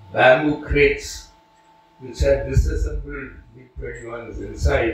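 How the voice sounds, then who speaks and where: A man talks while clear background noise is present. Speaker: retired air force officer and test pilot. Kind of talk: talk with audience.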